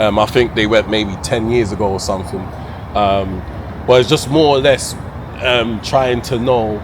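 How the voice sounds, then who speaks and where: Over noticeable background noise and audible room echo, a man with a London accent speaks at a moderate pace and medium pitch, leaving long, frequent pauses. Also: ordinary pitch variation. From London, England. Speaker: travel vlogger. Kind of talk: casual interview. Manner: halting.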